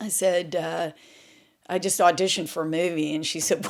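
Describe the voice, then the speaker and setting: In a Southern US accent, a woman speaks at a moderate pace with an animated tone. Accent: Southern US, still noticeable. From US South, Memphis, Tennessee. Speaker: former model and actress. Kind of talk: interview storytelling.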